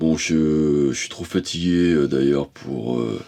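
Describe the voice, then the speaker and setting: Soft-spoken, a man with a very deep, low pitch speaks with ordinary pitch variation. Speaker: painter. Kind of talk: casual talk to camera about painting. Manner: halting, many hesitations.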